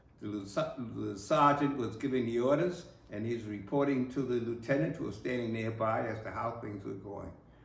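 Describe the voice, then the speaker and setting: With an American accent, a man talks at a moderate pace in a medium pitch, using ordinary pitch variation and hardly any pauses over noticeable background noise. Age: 80s+. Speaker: war veteran. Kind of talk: oral history recollection.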